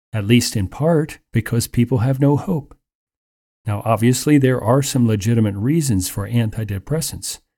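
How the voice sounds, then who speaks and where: A man speaks at a fairly slow pace in a dark, mellow tone, medium in pitch, somewhat breathy, with ordinary pitch variation. The recording is very clean, with a silent background. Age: 60s. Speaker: radio Bible teacher. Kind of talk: radio sermon.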